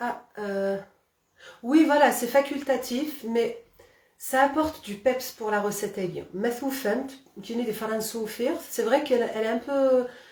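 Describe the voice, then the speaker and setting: A woman in a Kabyle accent speaks at a high pitch and fairly slow pace with ordinary pitch variation. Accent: Kabyle village. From Algeria, Kabylie. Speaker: cooking channel host. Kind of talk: live cooking demonstration. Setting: Facebook live stream. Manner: hesitant, many fillers.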